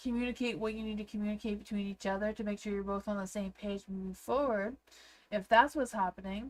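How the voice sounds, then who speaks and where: A woman with a Canadian accent talks at a very fast pace with fairly even intonation. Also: medium pitch for a woman. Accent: Canadian, noticed by viewers. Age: 40s. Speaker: tarot reader. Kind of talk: livestream tarot reading. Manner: hesitant, many fillers; sounds younger than her age.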